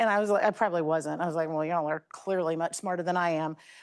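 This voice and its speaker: Against a quiet background, a woman with an American accent talks very fast in a fairly low voice with fairly even intonation. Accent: Southern Virginia accent, moderated. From US South, Lynchburg, Virginia. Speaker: energy industry leader, alumna speaker. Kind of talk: talk to students. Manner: casual, halting with fillers.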